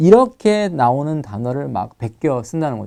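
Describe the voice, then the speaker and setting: Against a quiet background, a man with a fairly high pitch and a dark, mellow tone talks at a moderate pace with lively intonation. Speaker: TOEFL writing instructor. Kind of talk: lecture.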